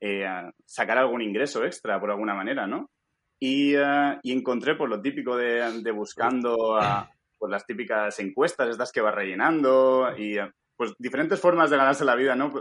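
This man has an unremarkable speaking voice. His pitch sits in the medium range. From Spain, Alicante. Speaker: stock photographer and schoolteacher. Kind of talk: casual interview.

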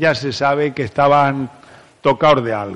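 A man talks rather slowly, his pitch rising and falling in a normal way, with clearly audible noise behind him. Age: 70s. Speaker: psychologist and conference speaker. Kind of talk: talk to a live audience. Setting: stage with audience. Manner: animated.

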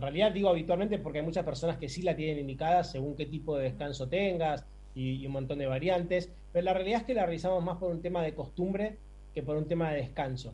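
Amid audible room echo, a man talks very fast in a fairly high pitch with a dark, mellow tone and ordinary pitch variation. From Argentina, Buenos Aires. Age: 40s. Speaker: sleep medicine doctor. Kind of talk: interview.

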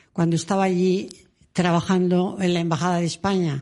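Dark, mellow tone from a woman at a moderate pace, with a quiet background. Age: 80s+. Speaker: former nun and author. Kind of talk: interview. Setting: radio studio.

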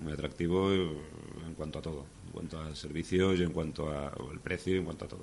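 With a very deep, low pitch, a man talks at a fairly quick pace in a monotone, flat intonation. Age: young. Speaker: climber. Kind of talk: interview.

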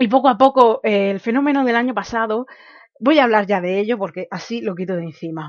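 A woman with an ordinary speaking voice talks at a fairly quick pace, her fairly high pitch showing ordinary pitch variation. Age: 20s. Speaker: podcast host. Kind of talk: solo commentary podcast.

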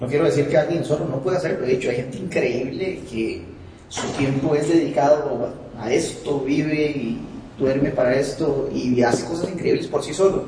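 Spoken with a Costa Rican accent, the clip has audible room echo and noticeable background noise. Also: man, fairly high pitch for a man, ordinary pitch variation, moderate pace. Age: 20s. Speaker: audiovisual producer, musician. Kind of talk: casual chat. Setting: studio.

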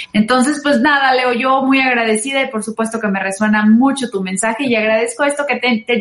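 A woman with a Mexican accent speaks at a high pitch with ordinary pitch variation. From Mexico, San Luis Potosí. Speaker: radio host and singer. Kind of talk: casual talk show with advice.

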